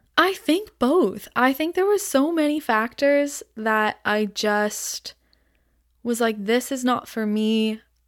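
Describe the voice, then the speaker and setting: In an Ontario accent, the speaker goes at a very slow pace with lively intonation, on a very clean recording with a silent background. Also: woman, high pitch for a woman. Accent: Canadian (Ontario). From Ontario, Canada (Aurora, Toronto suburbs). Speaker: florist and small business owner. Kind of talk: casual interview chat.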